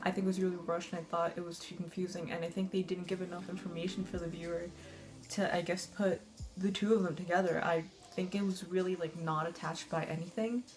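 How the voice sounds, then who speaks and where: Over music in the background, a woman speaks very fast in a fairly low pitch with monotone, flat intonation. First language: not English. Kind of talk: casual movie review to camera. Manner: nervous, frequent fillers.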